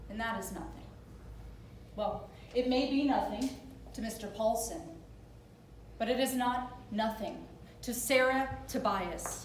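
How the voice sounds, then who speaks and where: Against light background noise and audible room echo, a woman speaks at a fairly slow pace with ordinary pitch variation and long, frequent pauses. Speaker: actor playing a prosecutor. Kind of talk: staged courtroom closing argument. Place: stage. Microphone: camera far.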